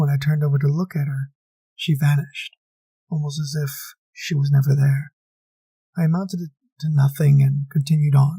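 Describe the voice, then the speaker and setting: In a dry, close recording with no echo, a man with a fairly high, dark and mellow voice talks at a fairly quick pace in a flat monotone, somewhat breathy, with long, frequent pauses. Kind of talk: first-person horror story narration.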